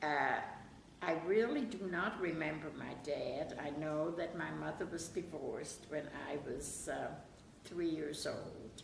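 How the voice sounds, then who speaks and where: A woman with a German accent, amid noticeable background noise and audible room echo. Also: fairly slow pace. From Germany (Bavaria). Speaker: interviewee recalling her life. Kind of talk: oral history interview.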